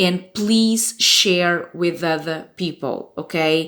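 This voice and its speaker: Someone speaks with a Portuguese accent. The recording is very clean, with a silent background. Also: woman. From Portugal. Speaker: fan website staff member. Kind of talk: informational warning video. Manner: casual, with hesitations.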